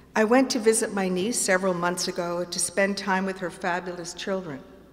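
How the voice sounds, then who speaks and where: Fairly even intonation is heard through audible room echo. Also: woman. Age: 70s. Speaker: performer doing a comic reading. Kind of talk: comic monologue performance. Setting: theatre stage with audience.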